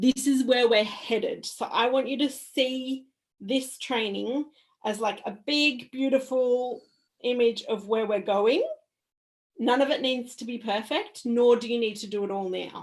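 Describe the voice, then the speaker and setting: This woman's voice is loud and high-pitched, with ordinary pitch variation. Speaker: mindset coach. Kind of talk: online workshop. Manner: animated.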